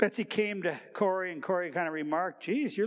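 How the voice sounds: The recording has a natural reading voice and ordinary pitch variation.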